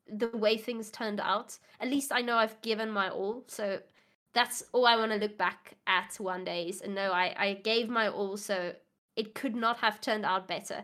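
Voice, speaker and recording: At a moderate pace, a woman speaks with a bright, sharp tone, fairly high pitch and fairly even intonation. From South Africa. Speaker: psychology student. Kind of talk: casual interview. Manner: halting, self-conscious about English.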